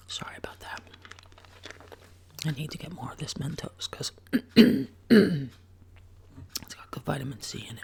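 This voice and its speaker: Whispering at a fairly slow pace. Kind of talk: ASMR soft-spoken whisper talk to camera. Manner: soft-spoken, whispered.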